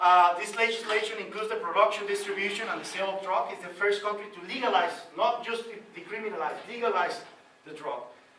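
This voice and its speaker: A man speaks at a very fast pace in a raised, projected voice, with noticeable background noise and audible room echo. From Costa Rica. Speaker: policy analyst. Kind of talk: lecture. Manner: halting.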